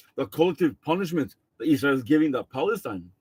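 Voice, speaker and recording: A man speaks at a very fast pace. He has a non-native accent. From India. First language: not English. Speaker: political commentator. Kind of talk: monologue commentary. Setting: on a boat. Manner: halting, many fillers and repeats.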